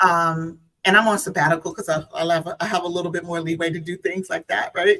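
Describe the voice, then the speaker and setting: A woman speaks with an American accent at a very fast pace, her pitch fairly low. Her tone is bright and sharp and her intonation monotone and flat. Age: 50s. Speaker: guest. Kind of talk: casual chat.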